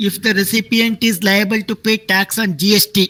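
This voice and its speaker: Raising and projecting his voice, a man speaks at a high pitch in a bright, sharp tone with fairly even intonation, the sound dry and close with no echo. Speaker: tax teacher. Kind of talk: lecture.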